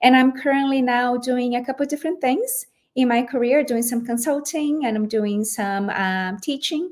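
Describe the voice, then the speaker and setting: A woman with a Portuguese accent talks at a moderate pace, with hardly any pauses. Her pitch is high, with ordinary variation. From Brazil. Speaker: lawyer, former general counsel. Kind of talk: interview podcast.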